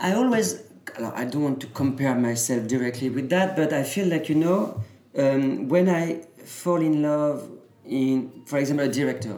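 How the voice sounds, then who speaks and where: Speaking at a moderate pace with a French accent, a man with a fairly high pitch uses lively intonation, with audible room echo and noticeable background noise in the recording. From France, Normandy. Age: 30s. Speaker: fashion designer. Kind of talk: interview. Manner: halting.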